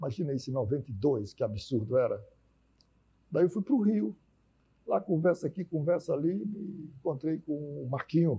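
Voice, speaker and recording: A man talks at a moderate pace with long, frequent pauses and vocal fry in a dark, mellow tone. His intonation is lively, and the background is quiet. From Teresina, Piauí, Brazil; Piauí, Brazil. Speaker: physician and healthcare executive; guest. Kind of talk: TV debate interview. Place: studio. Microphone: lapel.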